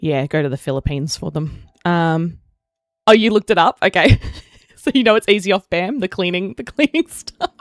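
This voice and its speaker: A woman with an Australian accent, fairly low in pitch, with very wide pitch swings, a fairly quick pace and a dry, close sound with no echo. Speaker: gaming streamer. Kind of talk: live stream chat. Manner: casual, rambling.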